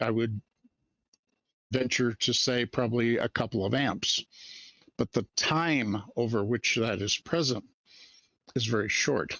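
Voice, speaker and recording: Ordinary pitch variation marks the medium-pitched voice of this man. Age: 60s. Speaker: electronics engineer. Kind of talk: educational talk in a live discussion. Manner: casual, hesitant.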